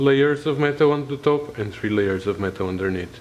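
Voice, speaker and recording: Light noise sits in the background. A man talks fairly slowly with ordinary pitch variation. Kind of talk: tutorial.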